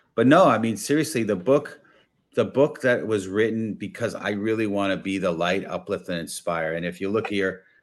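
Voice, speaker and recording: With a New York accent, a man talks in an energetic tone at a fairly low pitch, recorded very cleanly against a silent background. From New York, the Bronx. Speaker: business consultant and networking coach. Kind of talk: interview.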